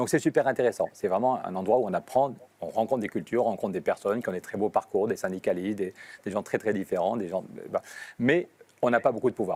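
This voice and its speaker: The recording is dry and close with no echo. A man speaks very fast at a medium pitch with ordinary pitch variation. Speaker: politician on hunger strike. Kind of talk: live video interview. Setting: European Parliament building.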